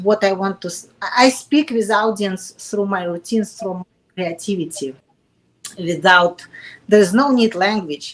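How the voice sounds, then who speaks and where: A woman with a Russian accent speaks at a moderate pace and a medium pitch. Her pitch varies in an ordinary way, with big swings in loudness. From Russia, Kaliningrad. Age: 40s. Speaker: fitness competitor. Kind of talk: interview. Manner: halting.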